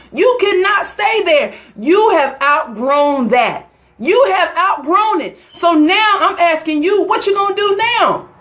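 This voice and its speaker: A woman with a Southern US accent speaks at a fairly slow pace in an animated tone. Her pitch swings very widely. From US South, North Carolina. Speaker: motivational speaker. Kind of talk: live motivational talk.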